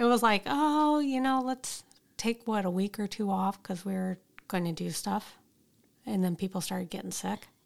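A woman's normal speaking voice at medium pitch, with lively intonation at a moderate pace, in a very clean recording over a silent background. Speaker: podcast co-host. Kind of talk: casual chat, podcast.

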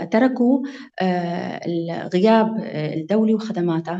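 The woman's pitch is medium, with ordinary variation. Noticeable background noise is present. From Syria, Maarat al-Numan (Idlib). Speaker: lawyer. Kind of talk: interview.

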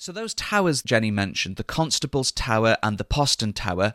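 Moderately paced and bright, sharp in tone, a man at medium pitch is heard in a very clean recording with a silent background, dry and close with no echo. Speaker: podcast host and guide. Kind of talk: history documentary narration, scripted-style. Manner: clear, measured, formal, explanatory.

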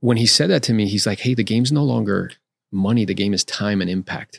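In a very clean recording with a silent background, a man speaks with an American accent at a moderate pace, his fairly low voice showing ordinary pitch variation. The sound is dry and close, with no echo. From South Florida. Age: 40s. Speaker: real estate agent and investor. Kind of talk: casual interview. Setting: studio.

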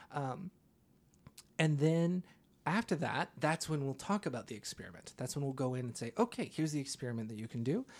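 Here is an ordinary speaking voice on a very clean recording with a silent background. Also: man. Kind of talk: casual conversation, podcast intro. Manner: self-deprecating, casual, laughs often.

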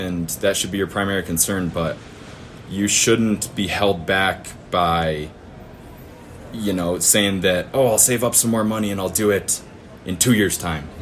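This man speaks with an American accent and a very deep, low pitch. His delivery has long, frequent pauses. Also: fairly even intonation, fairly slow pace. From US Midwest (northern Michigan). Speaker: farmer. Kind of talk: interview.

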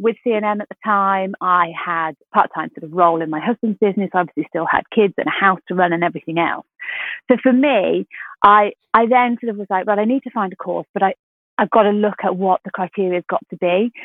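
A normal speaking voice from a woman at medium pitch, fairly quick in pace, with ordinary pitch variation and big swings in loudness. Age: 40s. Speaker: health coach course director. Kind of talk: interview.

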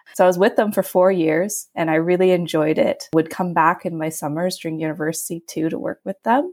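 A woman with a western Canadian accent and a fairly low pitch talks at a fairly quick pace with hardly any pauses and ordinary pitch variation. The recording is very clean with a silent background, and the sound is dry and close with no echo. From western Canada (Alberta, Vancouver Island). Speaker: young professional. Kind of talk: interview.

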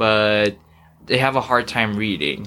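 Bright and sharp in tone, the voice moves at a fairly slow pace on a very clean recording with a silent background. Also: man. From Philippines, raised in Dubai. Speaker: college student and aspiring author. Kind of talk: casual interview.

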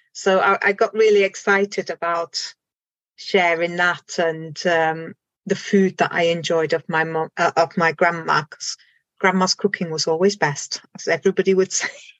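A woman with a fairly low pitch speaks in a monotone, flat intonation at a moderate pace. The sound is dry and close with no echo, over a quiet background. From Germany. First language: German. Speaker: complementary therapist. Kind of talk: casual interview chat.

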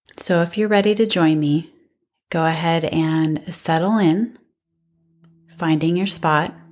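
A woman's calm, fairly low voice at a fairly slow pace, with fairly even intonation, very even loudness, long, frequent pauses and music in the background. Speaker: mindfulness instructor and life coach. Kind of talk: guided meditation. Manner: calm, soft-spoken, with long pauses.

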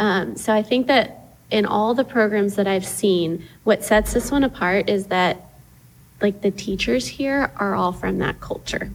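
With an American accent, a woman speaks at a medium pitch with vocal fry. Her pitch variation is ordinary. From East Texas (Tyler). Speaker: parent. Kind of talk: casual chat.

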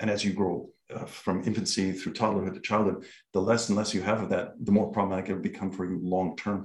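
A man's very fast, monotone, flat delivery. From Canada. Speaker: university researcher in educational psychology. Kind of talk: casual interview. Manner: fast talker, chatty.

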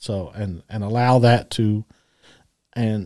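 A man speaks in a dark, mellow tone at a fairly low pitch. The recording is very clean, with a silent background. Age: 50s. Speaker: podcast co-host. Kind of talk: casual chat.

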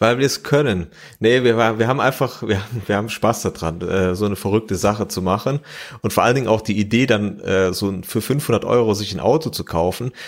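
A man's normal speaking voice, fairly low in pitch, on a very clean recording with a silent background. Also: ordinary pitch variation. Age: 30s. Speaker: mechanical engineer and rally driver. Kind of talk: interview.

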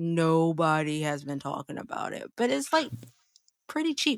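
A woman talks in a normal speaking voice with an American accent, fairly low in pitch and fairly quick. The sound is dry and close, with no echo. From South Carolina. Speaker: podcast co-host. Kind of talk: casual chat.

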